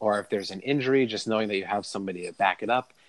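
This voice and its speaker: Spoken in a normal speaking voice, the delivery keeps a fairly even intonation. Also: man, dry, close sound with no echo. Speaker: podcast host. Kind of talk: casual chat.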